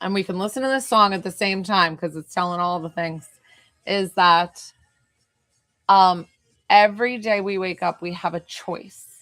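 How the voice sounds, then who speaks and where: A woman with an American accent speaks at a moderate pace and medium pitch, with ordinary pitch variation and long, frequent pauses. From New York, Hudson Valley. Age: 40s. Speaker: psychic medium. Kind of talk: live stream chat with viewers. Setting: live stream on camera.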